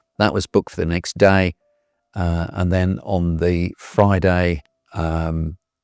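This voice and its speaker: Music plays behind a man with a very deep, low pitch and fairly even intonation. The sound is dry and close with no echo. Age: 60s. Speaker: cancer patient. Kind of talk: interview testimony. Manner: halting, many fillers.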